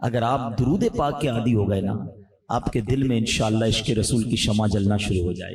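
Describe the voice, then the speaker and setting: Somewhat breathy and dark, mellow in tone, the voice shows ordinary pitch variation. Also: man. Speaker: Islamic preacher delivering a sermon. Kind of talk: emotional Islamic sermon (bayan). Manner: emotional, passionate, exhortative.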